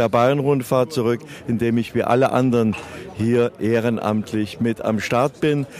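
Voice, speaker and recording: At a fairly slow pace, a man with a medium-pitched voice speaks over noticeable background noise. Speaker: veteran sports journalist and race announcer. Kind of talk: interview.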